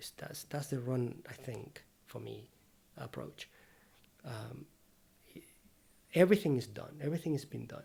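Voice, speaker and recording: With long, frequent pauses and big swings in loudness, a man speaks in a dark, mellow, medium-pitched voice with vocal fry and ordinary pitch variation. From Venezuela. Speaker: painter and art teacher. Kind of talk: casual interview conversation. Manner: fast.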